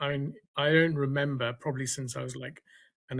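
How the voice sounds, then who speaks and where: Monotone, flat intonation in a British accent at a fairly quick pace. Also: man. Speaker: science writer. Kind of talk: seminar Q&A comment. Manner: halting.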